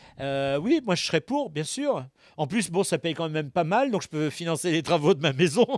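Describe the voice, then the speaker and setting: A man speaks at a high pitch with lively intonation, the sound dry and close with no echo. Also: moderate pace, very clean recording, silent background. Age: 60s. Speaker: voice actor. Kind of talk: interview. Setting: studio. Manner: halting.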